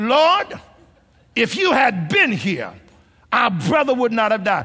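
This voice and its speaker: A man's raised, projected voice, bright and sharp in tone, with very wide pitch swings. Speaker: preacher. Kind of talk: sermon. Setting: church.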